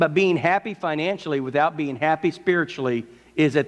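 A man's fairly high voice with ordinary pitch variation at a moderate pace. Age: 50s. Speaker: pastor. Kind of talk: sermon. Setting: church. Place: church.

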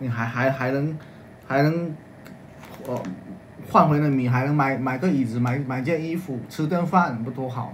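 Over light background noise, a man speaks at a moderate pace with fairly even intonation. He leaves long, frequent pauses. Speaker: livestream co-host. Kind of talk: live-stream sales chat. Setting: livestream. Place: home room. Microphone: phone near.

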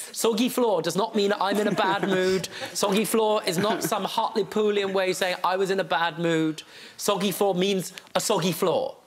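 Amid noticeable background noise, a man with a high pitch speaks at very even loudness and with fairly even intonation. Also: moderate pace. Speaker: TV judge. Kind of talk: courtroom TV show questioning. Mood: wry, exasperated, playful. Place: studio.

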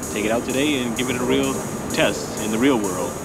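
With music playing in the background, a man talks at a moderate pace in a dry recording with no echo. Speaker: vlogger testing a microphone. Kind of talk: casual vlog chat. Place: street. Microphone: phone near.

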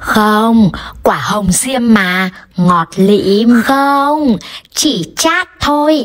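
The speaker is a woman who talks very slowly. Behind her, the background stays quiet. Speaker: comedy skit creator playing multiple roles. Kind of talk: acted comedic dialogue. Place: home room. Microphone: phone near.

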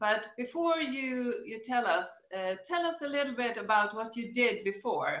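Her voice high and her intonation lively, a woman talks at a moderate pace against a quiet background with audible room echo. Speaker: interviewer. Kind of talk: interview questions. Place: home room. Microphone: webcam.

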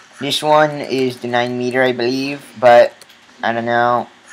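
A man's medium-pitched voice at a fairly slow pace over noticeable background noise. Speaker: gaming video commentator. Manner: casual, joking, rambling.

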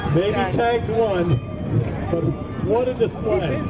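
There is music in the background. Over it, a man talks. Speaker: event announcer. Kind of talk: commentary.

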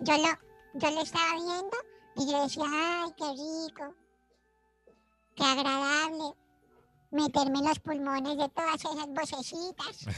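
A man does a put-on character voice in a playful tone, at a fairly slow pace with long, frequent pauses. Faint music plays in the background. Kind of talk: radio comedy sketch. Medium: role play. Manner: childish, playful.

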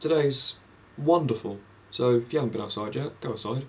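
At a moderate pace, a man with an English accent speaks with ordinary pitch variation. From England. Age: young. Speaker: vlogger. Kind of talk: casual monologue; casual vlog chat. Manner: rambling, halting. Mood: cheerful, relaxed. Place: home room. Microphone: webcam.

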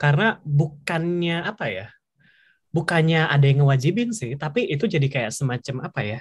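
Talking at a very fast pace, a man sounds somewhat breathy. The background is quiet. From Indonesia. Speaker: webinar moderator, scholarship alumnus; webinar moderator. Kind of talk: casual webinar moderation. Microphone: video call.

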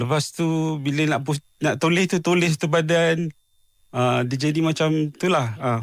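A man talks at a fairly slow pace and a fairly high pitch, with fairly even intonation. His loudness stays very even in a very clean recording with a silent background. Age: 40s. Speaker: mental health advocate, schizophrenia survivor. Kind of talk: radio interview. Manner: halting, many fillers.

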